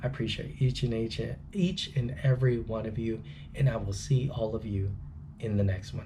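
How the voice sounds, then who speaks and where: Whispering at a moderate pace, a man is heard with audible room echo. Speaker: trucking student vlogger. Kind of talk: casual vlog talk.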